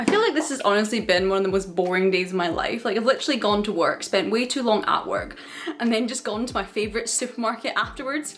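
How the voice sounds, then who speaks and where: Noticeable background noise under a woman's very fast pace. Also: fairly high pitch for a woman, ordinary pitch variation. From United Kingdom. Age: 20s. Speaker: software developer. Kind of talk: vlog voiceover narration.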